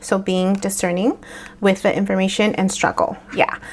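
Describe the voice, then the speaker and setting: A woman speaks in a Spanish accent at a medium pitch. Her intonation stays fairly even. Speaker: tarot reader. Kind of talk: tarot reading. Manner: halting, many fillers.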